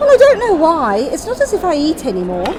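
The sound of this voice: Using a put-on character voice, a woman speaks at a fairly quick pace with an extremely high pitch and very wide pitch swings, over clear background noise and clear crowd noise.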